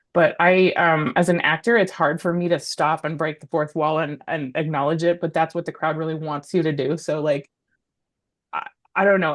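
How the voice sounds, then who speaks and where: A woman with an Alaskan accent, fairly low in pitch, against a quiet background. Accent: American (Alaska). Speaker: comedian and actor. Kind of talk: casual interview. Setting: podcast. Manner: fast; loud.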